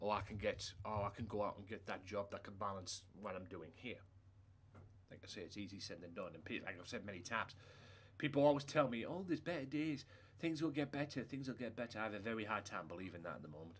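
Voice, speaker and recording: A man speaks very fast with a British accent and a fairly low pitch. His intonation is lively, and his loudness swings widely. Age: 30s. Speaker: gaming livestreamer. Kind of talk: casual chat. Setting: live stream.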